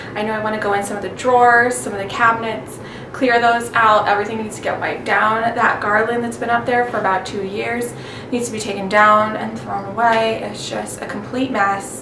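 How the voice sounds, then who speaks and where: Speaking at a fairly quick pace, a woman keeps a monotone, flat intonation over noticeable background noise. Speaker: home cleaning vlogger. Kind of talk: casual vlog chat. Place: kitchen.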